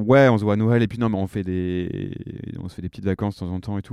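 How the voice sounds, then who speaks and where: A man speaks very fast in a fairly low pitch, with a dark, mellow tone and fairly even intonation. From Normandy, France. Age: 30s. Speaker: comedian. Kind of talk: casual chat.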